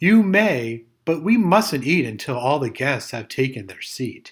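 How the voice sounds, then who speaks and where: In a cartoonish character voice, a man speaks at a fairly slow pace and a fairly high pitch, with very wide pitch swings and big swings in loudness, on a very clean recording with a silent background. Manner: kind, patient.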